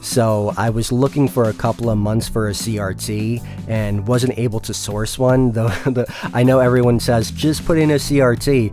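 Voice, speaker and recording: With ordinary pitch variation, a man talks while music plays behind him. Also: medium pitch for a man, moderate pace. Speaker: arcade collector and restorer. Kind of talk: casual talk to camera. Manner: hesitant, many fillers.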